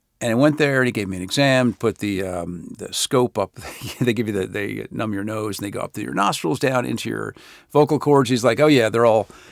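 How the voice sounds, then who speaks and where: A man speaks at medium pitch in a relaxed tone with vocal fry. The sound is dry and close with no echo, in a very clean recording with a silent background. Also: ordinary pitch variation, fairly quick pace. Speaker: voice actor. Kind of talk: casual talk to camera.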